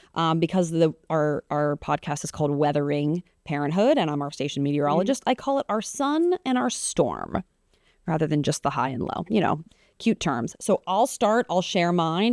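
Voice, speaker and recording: Heard on a very clean recording with a silent background and a dry, close sound with no echo, a woman with a plain, everyday voice speaks at a moderate pace, her pitch fairly low and her intonation lively. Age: 30s. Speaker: podcast host and TV meteorologist. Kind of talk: casual chat. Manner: casual, many fillers.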